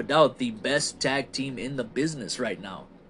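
A man's fairly high, bright, sharp voice with vocal fry. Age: 30s. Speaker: wrestling podcast host. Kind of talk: solo podcast monologue reviewing wrestling shows. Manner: casual, self-described halting conversational skills.

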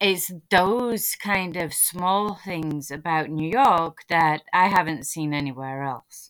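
On a very clean recording with a silent background, a woman with a northern English accent speaks at a very slow pace with ordinary pitch variation. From northern England. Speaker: podcast host. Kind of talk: casual chat.

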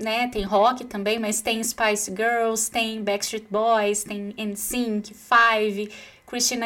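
Speaking very slowly with a Brazilian accent, a woman uses a bright, sharp tone at a fairly high pitch. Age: 30s. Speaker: psychologist podcast host. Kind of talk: solo podcast talk.

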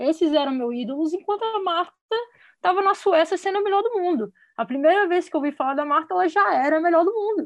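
Talking at a very fast pace, a woman uses an extremely high pitch and lively intonation. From Brasília, Brazil. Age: 30s. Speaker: football player and coach. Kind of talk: casual chat.

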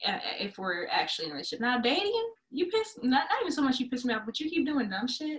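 A woman talks at a very fast pace in a high pitch with very wide pitch swings. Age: 20s. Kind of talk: casual chat.

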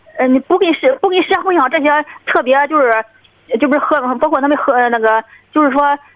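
Over noticeable background noise, a woman speaks fairly quickly in a high pitch with ordinary pitch variation. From Shandong, Dezhou. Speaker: caller seeking advice about her brother. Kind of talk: radio call-in conversation. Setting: phone call.

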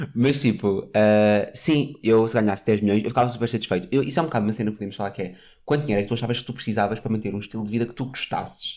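A man with a European Portuguese accent talks at a very fast pace with ordinary pitch variation, in a very clean recording against a silent background. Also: medium pitch for a man. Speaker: podcast co-host. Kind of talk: casual chat. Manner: animated.

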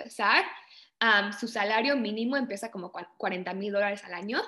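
A woman's voice, bright and sharp in tone. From Canada (born in Mexico, moved at age 4). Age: 20s. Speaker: project manager in cybersecurity. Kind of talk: interview.

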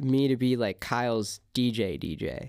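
Recorded very cleanly against a silent background, a man speaks at a medium pitch with a West Coast accent. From California, Ventura. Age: 20s. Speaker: singer-songwriter and DJ. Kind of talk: casual chat. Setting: recording studio.

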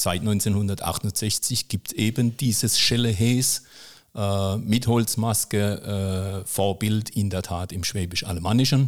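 The man's delivery is very slow. Nothing can be heard in the background of this very clean recording. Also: fairly low pitch for a man. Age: 50s. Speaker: municipal technical services manager and club chronicler. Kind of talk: casual interview. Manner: frequent hesitations (äh, ähm).

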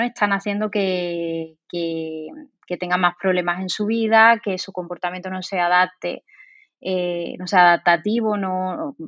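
Moving at a fairly slow pace, a woman with a plain, everyday voice keeps a medium pitch and fairly even intonation. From Spain, Seville. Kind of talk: interview.

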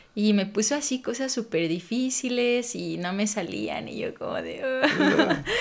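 Woman's fairly high voice, fairly slow with hardly any pauses and lively intonation, against noticeable background noise. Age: 30s. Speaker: pole dance instructor and studio owner. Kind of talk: casual interview chat.

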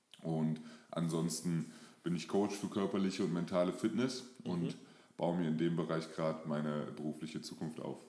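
With a very deep, low pitch and ordinary pitch variation, a man talks at a moderate pace. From Germany, moved around (Lower Saxony, Hesse, NRW). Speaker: fitness and mindset coach. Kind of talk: interview.

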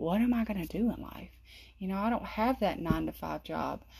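The recording is very clean, with a silent background. A Southern US accent comes through in the speech. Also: woman. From US South, South Carolina. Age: 30s. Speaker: podcast host. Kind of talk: casual monologue. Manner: talkative.

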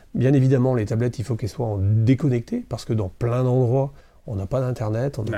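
At a very fast pace, a man with a medium pitch and a dark, mellow, somewhat breathy tone speaks on a very clean recording with a silent background. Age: 50s. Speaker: festival president and entrepreneur. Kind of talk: interview. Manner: hesitant, many fillers.

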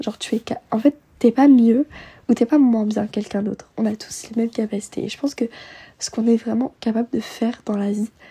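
A woman with a fairly high pitch, a dark, mellow tone with a husky, rough edge, fairly even intonation and a moderate pace

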